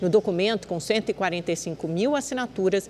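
Here a woman speaks at a medium pitch with ordinary pitch variation. Light background noise can be heard. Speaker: news anchor. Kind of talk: news reading. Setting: studio. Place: studio. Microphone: lapel.

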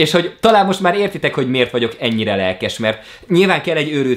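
A man talks very fast over a quiet background. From Hungary. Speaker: YouTuber. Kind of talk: vlog monologue. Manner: animated. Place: home room.

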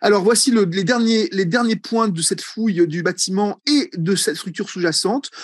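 A man with a high pitch and lively intonation talks at a moderate pace against a quiet background, the sound dry with no echo. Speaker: egyptology professor; egyptology professor presenting. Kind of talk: seminar lecture. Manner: hesitant with many fillers. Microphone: video call.

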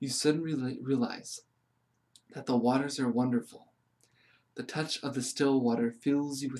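A quiet man's calm, soothing monotone, flat in intonation, broken by long, frequent pauses. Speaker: meditation guide reading aloud. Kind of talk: guided meditation read from a book. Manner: slow, calm, soothing; gentle, hushed, with pauses. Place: home room. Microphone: phone near.

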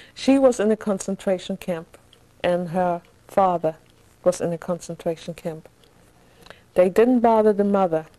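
With a German accent, a woman speaks in a dark, mellow tone, leaving long, frequent pauses. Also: medium pitch for a woman, ordinary pitch variation, moderate pace. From Germany, Hamburg; Germany. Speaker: Nazi-era survivor; interviewee. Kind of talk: oral history interview. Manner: halting. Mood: reflective, sometimes sorrowful. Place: home room. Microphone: lapel.

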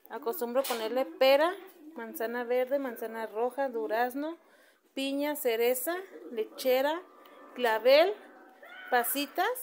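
Light background noise sits behind a woman with a high voice. She talks at a fairly slow pace with ordinary pitch variation. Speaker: home cook vlogger. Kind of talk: casual vlog chat. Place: home room. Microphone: phone near.

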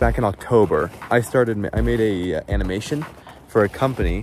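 A man with a plain, everyday voice speaks at a fairly low pitch with ordinary pitch variation, the sound dry with no echo and light background noise behind him. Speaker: stop motion channel creator. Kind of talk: casual vlog chat. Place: garden. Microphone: phone near.

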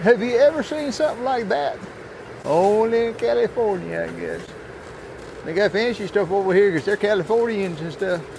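A man with a Southern US accent talks at a moderate pace with lively intonation, in a dry sound with no echo over light background noise. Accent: Southern US rural dialect. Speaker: traveling fair worker. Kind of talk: casual vlog talk to camera. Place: shop. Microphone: phone near.

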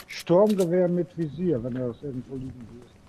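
Somewhat breathy and dark, mellow in tone, a man's fairly high voice moves at a fairly slow pace with ordinary pitch variation. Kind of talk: casual gaming chat.

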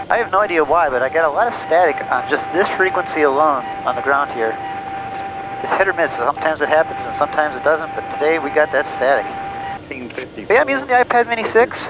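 A man speaks at a very fast pace. The sound is dry with no echo, but background noise is noticeable. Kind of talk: casual vlog chat. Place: plane. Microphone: headset.

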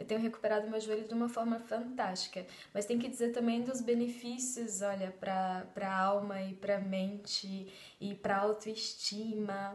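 A woman with a fairly high pitch speaks at a moderate pace in a monotone, flat intonation. Audible room echo surrounds her. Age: 30s. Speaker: belly dance student. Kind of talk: testimony. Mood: warm, grateful. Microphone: phone near.

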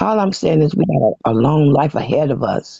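With an American accent, a man speaks at a fairly high pitch with very wide pitch swings and vocal fry. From Michigan. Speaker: viewer joining live panel. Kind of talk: encouraging advice. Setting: live stream panel.

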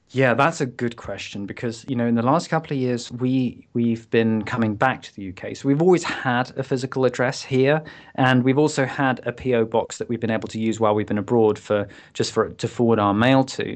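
Speaking fairly quickly with hardly any pauses, a man in a British accent keeps a medium pitch and fairly even intonation against a quiet background. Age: 40s. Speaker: entrepreneur and author. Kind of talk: casual interview chat.

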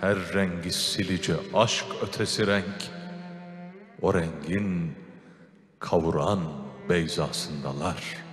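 Clear music plays behind a man whose very deep, low voice moves very slowly with ordinary pitch variation. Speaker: radio/TV program host. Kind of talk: poetry reading. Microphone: handheld.

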